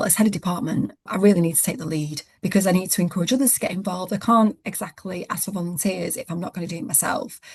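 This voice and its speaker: A woman talks at a fairly quick pace in a somewhat breathy, fairly low voice with ordinary pitch variation. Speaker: head of a legal department, coaching client. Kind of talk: interview. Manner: fast.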